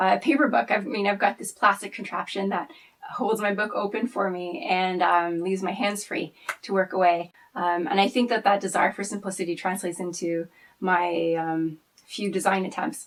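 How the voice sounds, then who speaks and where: A medium-pitched woman at a moderate pace. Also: ordinary pitch variation. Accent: French Canadian. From French Canada. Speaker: knitter and archivist. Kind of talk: casual personal talk to camera.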